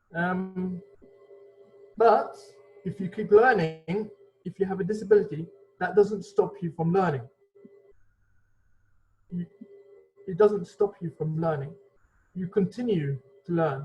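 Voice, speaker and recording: Music plays behind a man whose high voice moves at a fairly slow pace, with ordinary pitch variation, big swings in loudness, and long, frequent pauses. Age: 20s. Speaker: community podcast host and volunteer. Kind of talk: personal story podcast.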